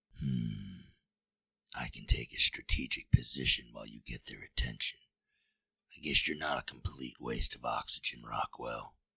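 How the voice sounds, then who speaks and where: In a put-on character voice, a man speaks with very deep, low pitch at a moderate pace. The sound is dry and close, with no echo. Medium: audio drama. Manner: gruff, blunt, militaristic.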